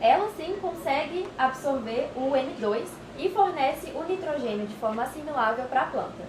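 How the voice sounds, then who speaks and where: Amid audible room echo, a woman with a high pitch speaks at a fairly slow pace. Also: lively intonation. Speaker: lab technician explaining products. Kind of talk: explanatory tour talk. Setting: laboratory. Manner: hesitant with fillers.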